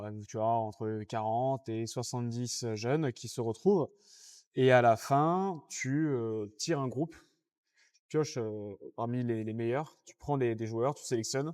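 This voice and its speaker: This man has an unremarkable speaking voice, talking at a fairly slow pace with ordinary pitch variation and big swings in loudness. The recording is very clean, with a silent background. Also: medium pitch for a man. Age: 20s. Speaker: underwater hockey athlete. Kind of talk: podcast interview.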